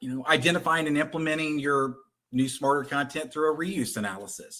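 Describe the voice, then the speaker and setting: A man with a Texan accent speaks at a fairly quick pace, his fairly high pitch carrying a bright, sharp tone. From Texas. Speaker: content conversion company representative. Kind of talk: webinar presentation.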